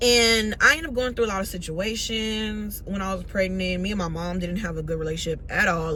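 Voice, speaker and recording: Barely pausing, a woman of medium pitch speaks at a fairly quick pace with ordinary pitch variation, amid noticeable background noise and audible room echo. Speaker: vlogger. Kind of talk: storytime vlog. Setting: in a car. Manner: loud; animated.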